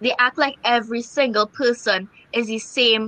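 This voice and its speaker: A woman's high voice with ordinary pitch variation, dry and close with no echo. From Trinidad. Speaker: podcast guest. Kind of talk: casual chat.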